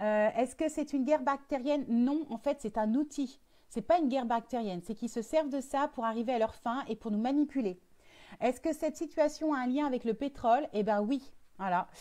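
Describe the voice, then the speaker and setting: High in pitch yet dark and mellow in tone, a woman speaks with ordinary pitch variation. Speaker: spiritual medium and coach. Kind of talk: live stream monologue. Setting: Facebook live video. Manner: fast; hesitant, many fillers.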